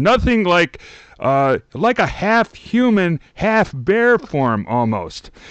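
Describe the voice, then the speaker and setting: A man with an American accent speaks against a quiet background, his pitch swinging very widely. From Chicago. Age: 50s. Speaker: TV podcast co-host. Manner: joking, self-deprecating.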